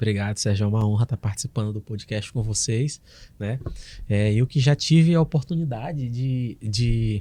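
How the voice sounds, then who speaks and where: Medium-pitched male voice with a dark, mellow tone, somewhat breathy, ordinary pitch variation and a moderate pace, on a very clean recording with a silent background. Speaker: oral and maxillofacial surgeon. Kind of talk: podcast interview.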